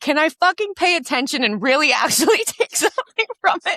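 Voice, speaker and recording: A woman's raised, projected voice at a fairly quick clip, with very wide pitch swings and a dry, close sound with no echo. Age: 30s. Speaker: podcast host, fitness trainer. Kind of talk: casual chat.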